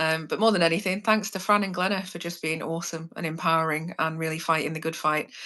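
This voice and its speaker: Speaking very fast with hardly any pauses, a woman has a fairly low pitch and a bright, sharp tone. Intonation is fairly even, over a quiet background. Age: 30s. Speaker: criminology student, former prisoner guest. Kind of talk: casual live chat. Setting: live stream.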